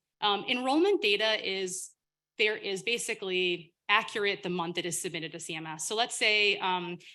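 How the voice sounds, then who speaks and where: A loud woman's voice with a bright, sharp tone and ordinary pitch variation. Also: quiet background. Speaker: government data official presenting. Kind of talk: Q&A session after presentation.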